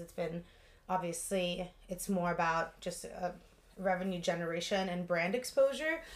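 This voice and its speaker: A woman talks at a medium pitch. Hers is an ordinary speaking voice. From Russia, moved to Los Angeles at 11. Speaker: yoga studio founder and instructor. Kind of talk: casual interview.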